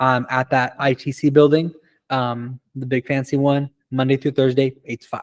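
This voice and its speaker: Dry, close sound with no echo, and a man speaking at medium pitch in a flat monotone. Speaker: college career services advisor. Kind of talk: orientation presentation to students. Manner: fast; casual, conversational.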